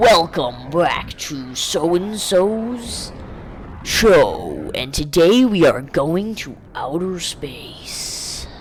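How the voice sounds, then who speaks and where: In a put-on character voice, a man speaks very slowly at a high pitch with a dramatic tone and big swings in loudness, over clear background noise. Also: lively intonation. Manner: dramatic announcer.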